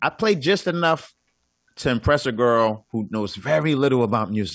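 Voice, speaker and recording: At a moderate pace and medium pitch, a man speaks with a New York accent and ordinary pitch variation against a quiet background. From Brooklyn, New York. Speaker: comedian. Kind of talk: casual chat.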